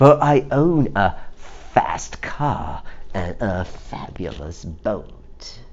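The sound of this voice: At a very slow pace, a man does a put-on character voice pitched low, with big pitch swings and a slightly mellow tone.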